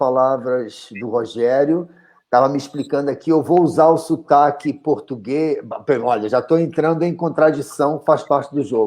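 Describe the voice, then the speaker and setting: A man with a fairly high pitch speaks at a fairly slow pace with ordinary pitch variation against a quiet background. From Mozambique. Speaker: documentary filmmaker. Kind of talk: panel discussion. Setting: video call.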